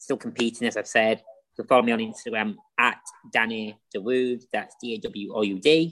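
In a medium pitch, a man talks with a Lancashire accent. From northern England, Wigan. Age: 20s. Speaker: personal trainer and wheelchair rugby athlete. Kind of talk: casual interview chat.

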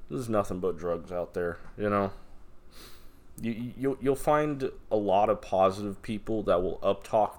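An unremarkable speaking voice, this man's is fairly low in pitch, with ordinary pitch variation and a moderate pace. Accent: American. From Las Vegas, Nevada. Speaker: podcaster. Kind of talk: casual monologue. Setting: alone in apartment room. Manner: rambling with frequent fillers and repetitions.

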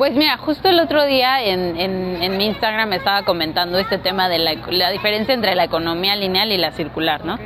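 A woman with a Mexico City accent at a medium pitch and fairly quick pace, with lively intonation, hardly any pauses, audible room echo and noticeable background noise. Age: 20s. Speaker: zero waste content creator. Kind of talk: interview.

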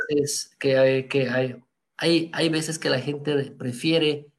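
At a moderate pace, a man with a plain, everyday voice speaks fairly high in pitch with fairly even intonation. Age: 30s. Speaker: photographer. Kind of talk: interview. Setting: live stream.

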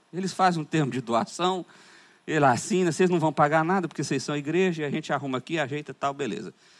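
Talking at a very fast pace with lively intonation, a man with a high pitch comes through on a very clean recording with a silent background. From Brazil, Goiás. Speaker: pastor. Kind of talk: conference sermon. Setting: church conference with audience.

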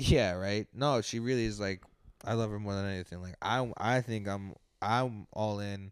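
An ordinary speaking voice: a man with an American accent and a fairly low pitch talks at a moderate pace with fairly even intonation, in a very clean recording with a silent background. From New York, Colombian American family. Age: 20s. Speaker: comedian. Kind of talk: casual chat.

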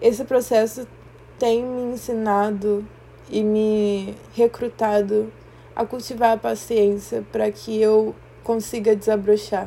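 Very slow and monotone with flat intonation, a woman speaks at a fairly high pitch in a dark, mellow tone. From Brazil, Rio de Janeiro. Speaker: podcaster. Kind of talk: personal reflective monologue. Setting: quiet room. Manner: slow, with pauses.

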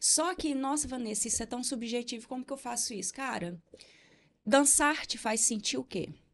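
Over a quiet background, a woman with a high pitch talks at a moderate pace with ordinary pitch variation. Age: 40s. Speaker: therapist and entrepreneur. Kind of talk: casual interview.

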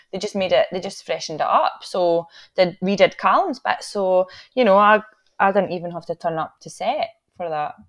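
This woman has a Scottish accent, a medium pitch and ordinary pitch variation, talking at a moderate pace. Her loudness swings widely against a quiet background. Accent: Scottish (Fife). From Scotland, Fife. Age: 20s. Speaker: actor and theatre maker. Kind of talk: casual chat.

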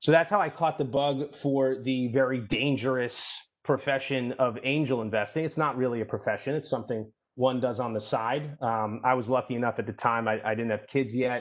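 A man with an American accent talks at a fairly quick pace in an unremarkable speaking voice at a medium pitch. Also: fairly even intonation. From New York City. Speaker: venture capital investor. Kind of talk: interview.

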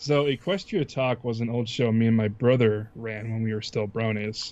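A plain, everyday voice speaks at a moderate pace, its pitch varying in an ordinary way. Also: man. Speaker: YouTube let's player. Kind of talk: casual chat.

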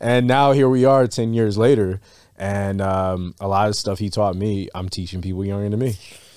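Recorded very cleanly with a silent background, a man with an unremarkable speaking voice and fairly low pitch speaks at a moderate pace with fairly even intonation. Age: 30s. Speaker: bartender and podcast co-host. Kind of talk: casual chat. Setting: studio.

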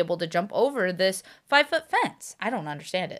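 A woman talks at a fairly quick pace with lively intonation and an animated tone. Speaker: dog owner. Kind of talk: casual chat. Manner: fast talker.

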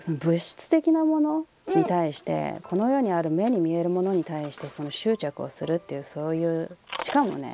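Moderate pace over noticeable background noise. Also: woman. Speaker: podcast host. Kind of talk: casual chat.

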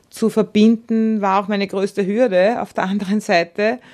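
Music plays behind a woman who speaks at a moderate pace and medium pitch with monotone, flat intonation. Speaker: entrepreneur. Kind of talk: radio portrait interview.

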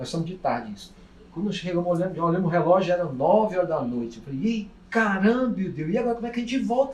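Audible room echo surrounds a man whose high voice makes very wide pitch swings and big swings in loudness. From Minas Gerais, Brazil. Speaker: friend of host's father. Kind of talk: voice message storytelling. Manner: animated.

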